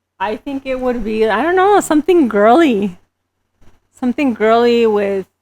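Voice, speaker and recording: A woman speaks with a Spanish accent and a fairly high pitch that swings very widely. The sound is dry and close, with no echo. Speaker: entrepreneur and beauty business owner. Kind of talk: podcast interview. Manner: casual, hesitant with fillers.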